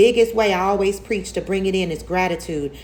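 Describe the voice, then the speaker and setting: A woman talks at a fairly quick pace with lively intonation. Her medium-pitched voice carries vocal fry. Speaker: tarot reader. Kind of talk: tarot reading monologue. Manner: animated; fast.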